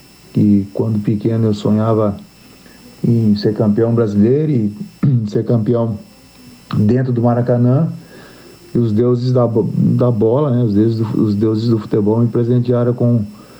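In a room with audible echo, a man of medium pitch speaks at a fairly slow pace with very even loudness and long, frequent pauses. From western Santa Catarina, Brazil. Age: 50s. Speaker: football coach. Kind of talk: interview. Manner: halting.

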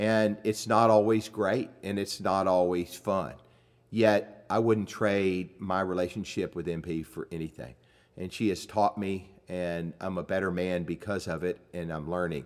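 The recording is very clean, with a silent background. A man with a very deep, low pitch and fairly even intonation speaks at a fairly slow pace. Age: 60s. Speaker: podcast host. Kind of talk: casual chat.

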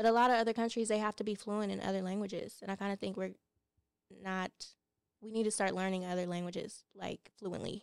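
A woman's very fast, monotone, flat delivery in a dry, close sound with no echo. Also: medium pitch for a woman. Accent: American. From California. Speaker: podcast guest. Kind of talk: casual chat.

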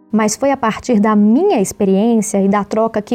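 There is noticeable background noise in the recording. The talking moves at a moderate pace. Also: woman. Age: 20s. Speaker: podcast host, journalist. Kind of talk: scripted narration.

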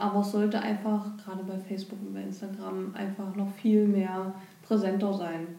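A woman speaks at medium pitch with monotone, flat intonation. Noticeable background noise and audible room echo fill the recording. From Germany, Saxony-Anhalt (Bernburg). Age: 20s. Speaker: local rose queen, trainee in public administration. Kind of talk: podcast interview.

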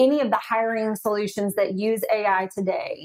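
A woman speaks at a fairly slow pace in a Southern US accent. Her pitch is fairly high, with ordinary variation. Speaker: AI ethics advisor. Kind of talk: podcast interview.

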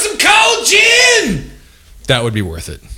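A man talks over noticeable background noise. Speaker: podcast co-host. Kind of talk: casual comedic banter.

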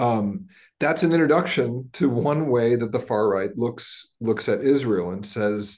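A man with an American accent uses a normal speaking voice at medium pitch with ordinary pitch variation. He talks at a fairly slow pace against a quiet background. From United States. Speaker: professor. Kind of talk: webinar talk, expository.

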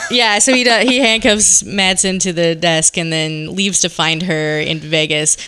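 Moderate pace with hardly any pauses, lively intonation in an American accent, over noticeable background noise. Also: woman, fairly low pitch for a woman. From Seattle, US Pacific Northwest. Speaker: podcast guest, film discussant. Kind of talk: casual chat with plot recaps. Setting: home basement recording with others at a table.

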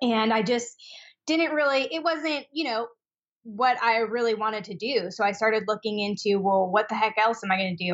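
A woman speaks in a normal speaking voice with ordinary pitch variation. Her pace is fairly quick. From Washington State (Spokane). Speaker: esthetician and skincare business owner. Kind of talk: interview.

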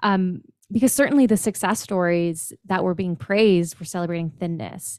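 With a very clean recording and a silent background, a woman speaks in an unremarkable speaking voice at medium pitch and a moderate pace, with ordinary pitch variation and a dry, close sound with no echo. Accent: Canadian. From Ontario, Canada. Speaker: personal trainer and body image coach. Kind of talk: interview.

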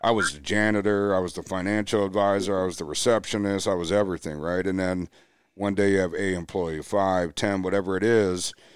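At a fairly quick pace, a voice with an American accent speaks in a flat monotone on a very clean recording with a silent background. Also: man, very deep, low pitch for a man. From US Midwest, Milwaukee, Wisconsin. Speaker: financial advisor. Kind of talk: casual chat.

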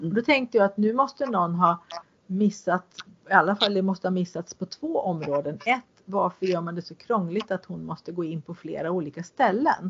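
Using an ordinary speaking voice, a woman of medium pitch talks at a moderate pace with lively intonation and big swings in loudness. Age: 50s. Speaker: podcast host. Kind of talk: interview. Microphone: poor sound quality.

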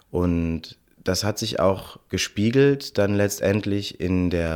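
The recording is very clean, with a silent background. A man speaks in a very deep, low voice. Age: 30s. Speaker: choir director and beatboxer. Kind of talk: interview.

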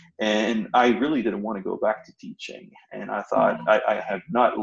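A man with a French accent at a fairly quick pace. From northern France. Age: 40s. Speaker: business owner, former university professor. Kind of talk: personal story interview. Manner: halting.

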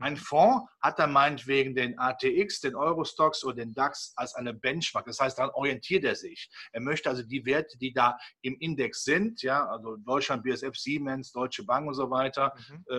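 A man speaks at a moderate pace with a bright, sharp tone. His pitch sits fairly high, with ordinary variation. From Rhineland, Cologne. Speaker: capital market analyst. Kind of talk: interview.

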